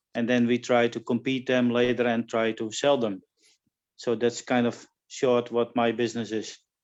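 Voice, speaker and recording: Monotone, flat intonation from a man at medium pitch. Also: moderate pace. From Netherlands. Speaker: horse judge. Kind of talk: video meeting introduction. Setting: video call. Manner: halting.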